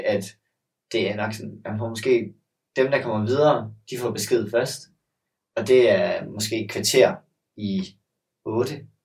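A man with a medium-pitched, somewhat breathy voice speaks at a very slow pace with fairly even intonation and long, frequent pauses. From Denmark, Sønderborg (Southern Jutland). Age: 20s. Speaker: gymnast. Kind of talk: casual chat.

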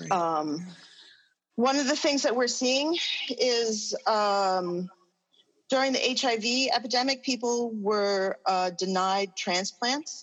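Against a quiet background, a woman with an American accent talks at a very slow pace in a fairly high pitch, her intonation lively and her loudness very even. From New York. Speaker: social work professor. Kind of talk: panel discussion.

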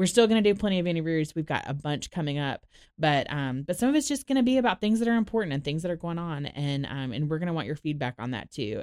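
Very fast, animated speech on a very clean recording with a silent background. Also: woman. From Florida, Orlando. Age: 30s. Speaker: podcast host. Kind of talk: casual chat.

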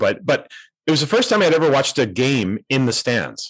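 Against a quiet background, a man talks at a fairly quick pace with lively intonation in a normal speaking voice, the sound dry and close with no echo. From Canada, North Vancouver. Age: 50s. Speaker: education author and speaker. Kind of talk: interview conversation.

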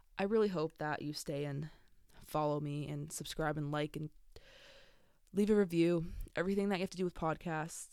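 A woman with an American accent talks at a fairly quick pace in a very deep, low, dark and mellow voice with fairly even intonation. Long, frequent pauses break her speech in a very clean recording with a silent background. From San Diego, California. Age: 20s. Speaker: podcaster and college student. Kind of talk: casual solo podcast monologue. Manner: halting, many fillers.

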